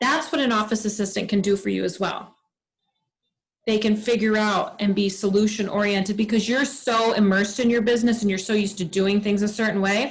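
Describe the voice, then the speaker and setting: Her voice is fairly high and somewhat breathy, and this woman talks at a fairly quick pace. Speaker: direct sales team leader. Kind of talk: team training meeting. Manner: fast; animated.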